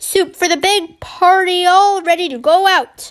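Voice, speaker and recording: In a put-on character voice, a woman speaks loudly at an extremely high pitch, with fairly even intonation and a moderate pace. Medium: read story. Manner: loud, brusque.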